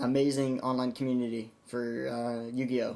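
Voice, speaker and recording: At medium pitch, a man speaks fairly slowly in a monotone, flat intonation. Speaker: YouTuber discussing card game. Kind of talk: casual vlog monologue. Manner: stuttering, halting.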